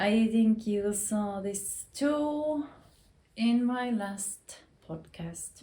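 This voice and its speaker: With a Finnish accent, a woman speaks at a very slow pace in a fairly high, somewhat breathy voice with a dark, mellow tone and ordinary pitch variation. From Finland. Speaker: knitting youtuber. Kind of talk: casual chat. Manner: halting.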